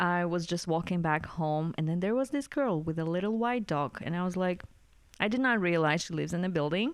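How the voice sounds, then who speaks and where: A woman in a Russian accent, fairly low-pitched, at a fairly quick pace with lively intonation and a quiet background. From Kazakhstan. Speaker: podcast co-host. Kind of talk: casual chat.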